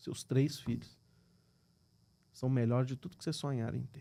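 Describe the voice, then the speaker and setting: In a Minas Gerais accent, the voice has a dark, mellow tone and moves at a fairly quick pace. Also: man. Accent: Brazilian Portuguese, mineiro. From Minas Gerais, Brazil. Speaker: businessman. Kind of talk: podcast interview.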